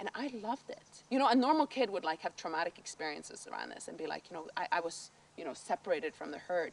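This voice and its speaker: A woman with a Norwegian accent, at a fairly quick pace, with very wide pitch swings. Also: big swings in loudness. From northern Norway, island of Andøya. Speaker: documentary interviewee. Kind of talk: personal testimony. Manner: halting, many fillers.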